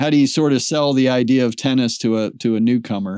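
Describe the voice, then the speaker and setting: This man has a plain, everyday voice at a medium pitch, speaking at a fairly quick pace with fairly even intonation. The recording is very clean and the background silent. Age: 60s. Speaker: podcast host. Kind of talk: casual interview.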